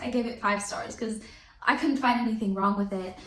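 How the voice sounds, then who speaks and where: A woman's animated tone amid audible room echo and noticeable background noise. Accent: non-native. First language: not English. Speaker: book reviewer. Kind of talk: casual chat.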